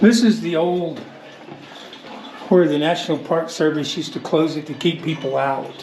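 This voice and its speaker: With audible room echo and noticeable background noise, a man with a fairly high pitch talks at a moderate pace, using ordinary pitch variation and long, frequent pauses. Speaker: vlogger taking missionaries on a trip. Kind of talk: casual vlog narration. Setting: outdoors in a cave. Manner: quiet, talking softly to camera.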